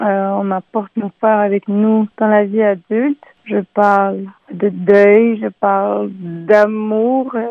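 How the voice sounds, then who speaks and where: A woman talks at a very slow pace in a flat, monotone intonation. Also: medium pitch for a woman. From Montreal, Quebec. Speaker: singer-songwriter. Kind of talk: radio interview.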